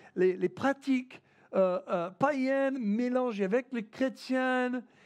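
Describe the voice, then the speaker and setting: Speaking at a fairly slow pace, a man with an American accent has an extremely high pitch. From United States. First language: English (speaking French). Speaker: pastor. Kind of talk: sermon. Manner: halting, many fillers and repetitions.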